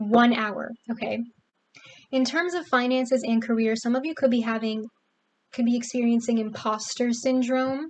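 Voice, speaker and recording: A woman with a high pitch, fairly even intonation and long, frequent pauses. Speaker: tarot reader. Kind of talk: tarot reading to camera. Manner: fast; stuttering.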